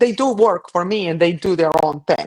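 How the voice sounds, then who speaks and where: Lively intonation marks this voice with a Colombian accent, delivered at a moderate pace. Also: woman. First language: Spanish. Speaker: cleaning business owner. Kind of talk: podcast interview.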